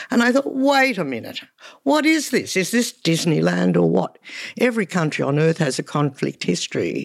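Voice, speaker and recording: A woman with an Australian accent speaks at a moderate pace in a very clean recording with a silent background. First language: Hungarian. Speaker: photographer. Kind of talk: interview. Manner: animated.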